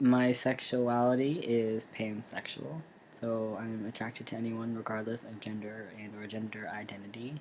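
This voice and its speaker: A man with a plain, everyday voice at a medium pitch, moderate pace and hardly any pauses, with fairly even intonation and big swings in loudness. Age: 20s. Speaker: vlogger. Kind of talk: casual vlog monologue.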